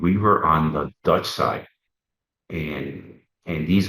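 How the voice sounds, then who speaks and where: A man has a very deep, low voice and a Puerto Rican accent. His pitch variation is ordinary. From Wisconsin, Puerto Rican family. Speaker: former federal undercover agent. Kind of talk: interview storytelling. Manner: halting, many repeated words.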